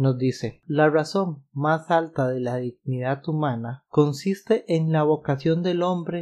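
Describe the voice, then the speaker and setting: A man speaks at a very slow pace in a fairly high pitch, with a dark, mellow tone. His intonation is fairly even, and the background is quiet. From Costa Rica. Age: 30s. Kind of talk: religious podcast monologue.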